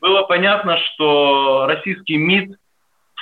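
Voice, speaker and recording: Very slowly, a man talks with lively intonation. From Ukraine, Odesa. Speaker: historian and commentator. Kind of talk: radio interview. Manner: halting, many fillers.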